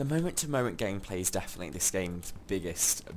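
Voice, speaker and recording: The voice is a man's. Audible room echo follows his words. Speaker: gaming let's play creator. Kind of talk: gameplay commentary. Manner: halting, many fillers.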